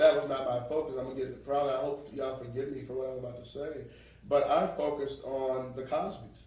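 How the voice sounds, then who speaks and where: A man with a New York accent talks at a very fast pace and a medium pitch. Noticeable background noise and audible room echo are present. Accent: sounds New York rather than New Orleans. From New Orleans. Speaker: real estate investor. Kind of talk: motivational interview talk. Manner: animated.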